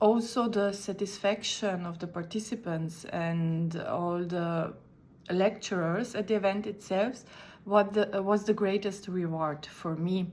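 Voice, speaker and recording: Speaking fairly slowly with fairly even intonation, a woman talks in a Slovene accent. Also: medium pitch for a woman. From Slovenia. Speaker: conference interpreter. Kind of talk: recorded video talk. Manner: halting.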